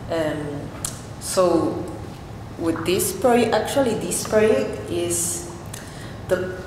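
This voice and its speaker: Through audible room echo and noticeable background noise, a woman speaks very slowly at a fairly low pitch. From Peru. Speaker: artist and painter; presenter. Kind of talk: artist talk at a panel. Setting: stage with audience. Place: hall. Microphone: camera far.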